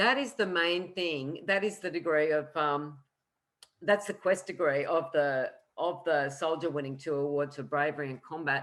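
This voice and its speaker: A woman speaks in an Australian accent. Her pitch is very deep and low, with ordinary variation. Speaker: astrologer. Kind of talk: lecture. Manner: fast.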